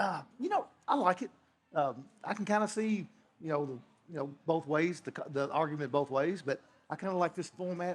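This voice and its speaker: A fairly high-pitched man with a Kentucky accent and ordinary pitch variation. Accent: Kentucky Southern US. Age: 60s. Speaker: whiskey distiller. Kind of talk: interview. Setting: festival talk show. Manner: halting, many fillers.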